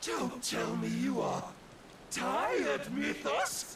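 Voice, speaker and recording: A man talks in a put-on character voice at a very slow pace. Loud background noise fills the recording. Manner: defiant, taunting.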